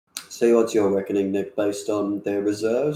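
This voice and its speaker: At a fairly quick pace, a man speaks with a fairly low pitch and a dark, mellow tone. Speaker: esports caster. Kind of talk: live commentary.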